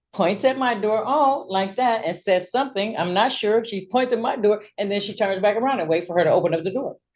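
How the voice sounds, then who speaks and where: The pitch of this woman's voice swings very widely. She moves along at a fairly quick pace. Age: 60s. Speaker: petitioner in a neighbor dispute court hearing. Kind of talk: court testimony. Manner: halting, many fillers.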